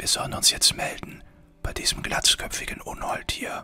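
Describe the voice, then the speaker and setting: A man whispering at a fairly slow pace, with music in the background. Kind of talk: ASMR-style gaming let's play with comedic rants.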